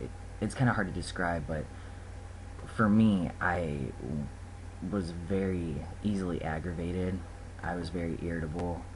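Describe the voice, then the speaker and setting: Someone speaks at a moderate pace with ordinary pitch variation and long, frequent pauses, in a space with audible room echo. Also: man, very deep, low pitch for a man. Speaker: vlogger. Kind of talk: casual video diary. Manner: hesitant, many fillers.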